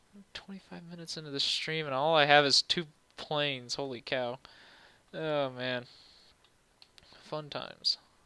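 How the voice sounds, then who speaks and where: The pace is moderate. Long pauses break it up frequently. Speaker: streamer doing 3D modeling. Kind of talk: live stream tutorial. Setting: live stream. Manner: casual, chatty; vocal fry.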